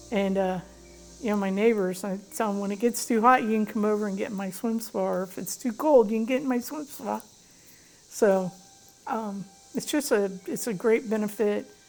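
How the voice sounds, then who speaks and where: With music playing behind her, a woman talks in an American accent at a moderate pace and medium pitch, with ordinary pitch variation. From Florida. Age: 60s. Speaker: customer testimonial. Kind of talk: testimony. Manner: hesitant with many fillers.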